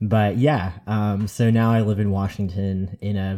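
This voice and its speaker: At a fairly slow pace, a man with an American accent speaks in a fairly low pitch with a dark, mellow tone and monotone, flat intonation, on a very clean recording with a silent background. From New York. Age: 30s. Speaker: mythology podcaster. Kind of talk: casual chat.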